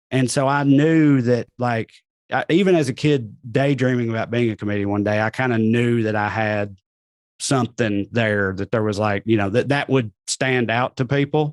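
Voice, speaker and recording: A man speaks at a moderate pace and medium pitch with ordinary pitch variation, the sound dry and close with no echo. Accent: American. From US South, Tennessee. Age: 30s. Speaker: comedian. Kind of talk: casual chat.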